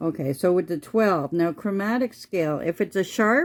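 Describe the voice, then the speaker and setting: A woman talks with lively intonation in a very clean recording with a silent background. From Quebec. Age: 60s. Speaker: music teacher. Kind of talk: tutorial. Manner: casual, halting with fillers.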